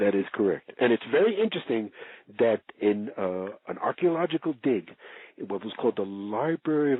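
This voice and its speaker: Using an ordinary speaking voice, a man talks at a medium pitch with lively intonation. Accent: American. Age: 60s. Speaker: researcher and author. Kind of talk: interview.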